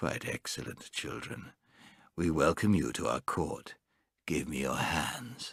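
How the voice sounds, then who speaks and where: A put-on character voice from a man, pitched very deep and low, delivered at a fairly slow pace. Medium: read story.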